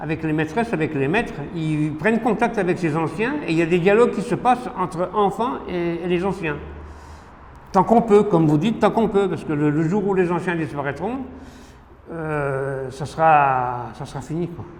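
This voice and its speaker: At a moderate pace, a man with a high pitch talks using lively intonation. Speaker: heritage railway association secretary. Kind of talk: interview answer.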